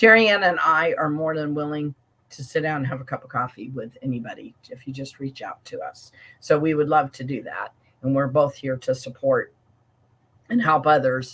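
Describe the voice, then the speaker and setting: A woman talks at a moderate pace with a very deep, low pitch and ordinary pitch variation. Her loudness swings widely. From Alaska. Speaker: life coach. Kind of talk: casual chat.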